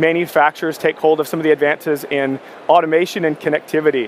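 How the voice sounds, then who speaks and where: At a fairly quick pace, a man with a fairly high voice and fairly even intonation speaks in a dry, close sound with no echo over noticeable background noise. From Canada. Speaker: tech company sales director. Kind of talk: conference keynote presentation.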